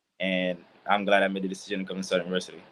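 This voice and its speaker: Speaking with a Haitian accent, a man uses a fairly low pitch. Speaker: college football player. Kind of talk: casual interview.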